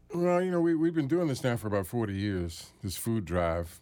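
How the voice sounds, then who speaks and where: A man with an American accent and a dark, mellow tone, in a very clean recording against a silent background. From Washington, D.C. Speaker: radio host and producer. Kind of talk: interview. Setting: studio.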